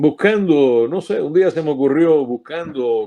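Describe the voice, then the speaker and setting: A man's fairly high-pitched voice has a dark, mellow tone over a quiet background. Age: 70s. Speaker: sports broadcaster. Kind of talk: interview.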